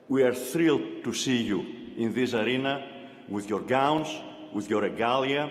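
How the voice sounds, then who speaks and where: A man with a non-native accent talks at a moderate pace and medium pitch. There is audible room echo and noticeable background noise. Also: ordinary pitch variation. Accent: foreign. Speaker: university chancellor. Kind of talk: commencement speech. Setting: arena with audience.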